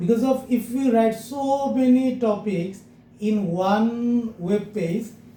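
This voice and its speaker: In a room with audible echo, a man speaks with a high pitch, a dark, mellow tone and fairly even intonation. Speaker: SEO agency CEO teaching a class. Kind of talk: lecture.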